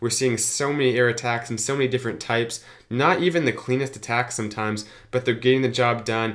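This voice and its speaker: A plain, everyday voice moves at a fairly quick pace. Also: man. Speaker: gaming youtuber. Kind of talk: gameplay commentary.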